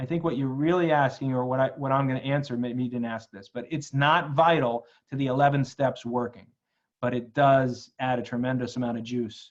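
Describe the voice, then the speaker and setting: The voice belongs to a man speaking at medium pitch. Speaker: law firm business coach. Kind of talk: live webinar Q&A. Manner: fast; filler-heavy, repetitive starts.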